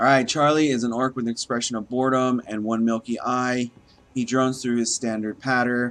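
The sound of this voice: Text voiced in an unforced reading voice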